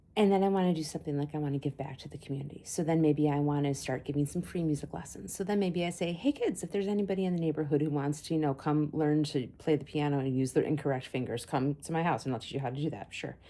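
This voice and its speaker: A dark, mellow tone at a very fast pace, with hardly any pauses and ordinary pitch variation. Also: woman, very deep, low pitch for a woman. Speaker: psychic and vlogger. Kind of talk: casual vlog monologue. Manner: animated.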